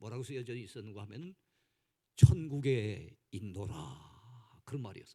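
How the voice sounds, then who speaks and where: A man speaks with a Gangwon accent. His tone is dark and mellow and somewhat breathy. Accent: mostly Gangwon. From South Korea, Gangwon Province. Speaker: pastor. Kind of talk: sermon. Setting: church.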